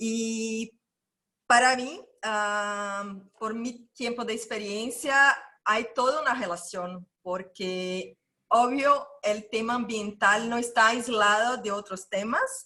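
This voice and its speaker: Using a bright, sharp tone and ordinary pitch variation, this voice with a Brazilian accent proceeds at a very slow pace. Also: woman, fairly high pitch for a woman. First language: Portuguese (speaking Spanish). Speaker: NGO founder. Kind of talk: panel presentation.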